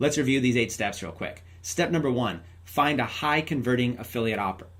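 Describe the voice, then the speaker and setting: There is audible room echo around the voice. It sounds somewhat breathy, with lively intonation. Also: man. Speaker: online marketing trainer. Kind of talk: tutorial. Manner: fast; animated.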